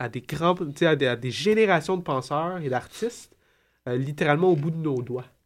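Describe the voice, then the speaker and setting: A man is speaking. His intonation is lively. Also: very clean recording, silent background. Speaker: comics commentator. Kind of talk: casual chat. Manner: halting.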